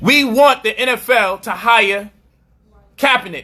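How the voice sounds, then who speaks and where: Ordinary pitch variation marks this raised, projected voice. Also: man. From US Northeast, Brooklyn, New York. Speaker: commentator. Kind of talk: commentary monologue. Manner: animated.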